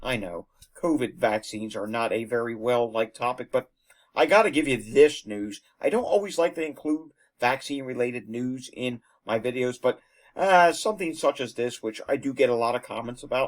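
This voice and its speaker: In an ordinary speaking voice, a man talks at a fairly quick pace with a medium pitch and lively intonation. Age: 30s. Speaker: news video host. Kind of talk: news commentary. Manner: casual, conversational with fillers.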